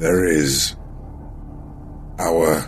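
A man puts on a character voice with a very deep, low pitch, with clear background noise behind him. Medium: actual play. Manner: direct, businesslike.

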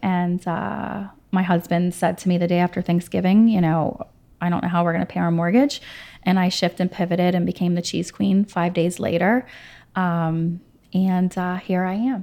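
On a very clean recording with a silent background, a woman speaks with an American accent in a dark, mellow tone. Her pitch is fairly low, her pace moderate and her intonation fairly even. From Pittsburgh, US. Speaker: cheese shop owner. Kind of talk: casual interview. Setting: in her shop. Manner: halting with fillers.

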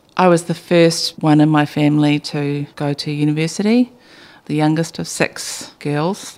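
A woman speaks in a New Zealand accent at a fairly slow pace. Her pitch is very deep and low, with ordinary pitch variation. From New Zealand, Bay of Plenty. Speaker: business founder. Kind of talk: interview.

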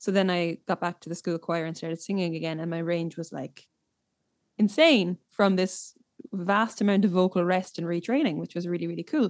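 In a Limerick accent, a woman with a fairly low pitch talks at a fairly quick pace with fairly even intonation. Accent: Irish (Limerick). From Limerick, Ireland. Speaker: singer-songwriter. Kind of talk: casual interview chat.

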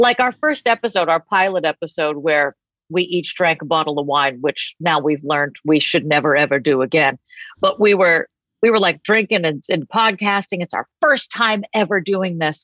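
A woman with an American accent speaks at a moderate pace. Her fairly low voice has lively intonation.

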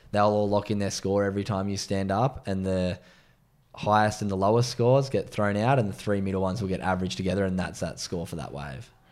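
This man talks at a very fast pace. He has a fairly low pitch and an Australian accent. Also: ordinary pitch variation. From Australia, Sydney's northern beaches. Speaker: former pro surfer, mental health advocate. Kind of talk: casual interview chat.

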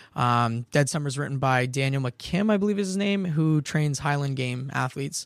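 A man with an ordinary speaking voice talks at a fairly high pitch, a moderate pace and with ordinary pitch variation, hardly pausing. The recording is very clean, with a silent background. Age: 20s. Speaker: personal trainer. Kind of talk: casual chat.

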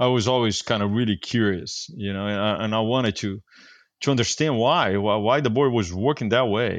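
The speaker talks with a Portuguese accent at a fairly quick pace, using ordinary pitch variation. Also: man, medium pitch for a man. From Brazil, Rio de Janeiro. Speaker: surfboard shaper. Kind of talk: casual interview. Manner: hesitant, with many fillers.

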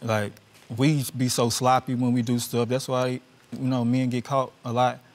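A man speaks with a Louisiana accent. His pace is moderate. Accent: Louisiana Southern US. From Louisiana, US South. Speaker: husband in divorce case. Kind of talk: courtroom testimony.

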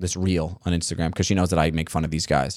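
A man with a New York accent and a very deep, low pitch, on a very clean recording with a silent background and a dry, close sound with no echo. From Staten Island, New York. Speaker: comedian. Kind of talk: casual chat. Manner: halting.

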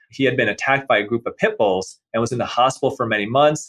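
A man's fairly quick delivery in an ordinary speaking voice, medium in pitch, with ordinary pitch variation. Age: 50s. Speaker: plastic surgeon. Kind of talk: interview.

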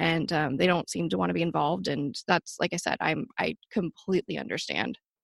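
A woman's fairly low voice with vocal fry at a moderate pace, dry and close with no echo, against a quiet background. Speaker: advocate for missing sister. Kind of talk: casual interview.

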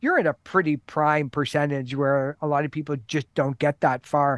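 A man with an unremarkable speaking voice is heard in a dry, close sound with no echo. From Canada. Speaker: music industry expert. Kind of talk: casual chat.

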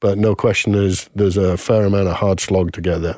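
At a fairly quick pace, a man talks in an ordinary speaking voice, fairly low in pitch with fairly even intonation. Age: 50s. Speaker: marketing consultant, former brand marketer. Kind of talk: casual chat.

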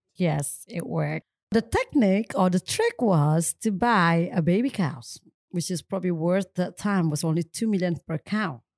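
A woman with an Indonesian accent talks at medium pitch and a moderate pace, with lively intonation. The sound is dry and close with no echo, on a very clean recording with a silent background. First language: Indonesian or Balinese. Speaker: coffee entrepreneur. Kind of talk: interview.

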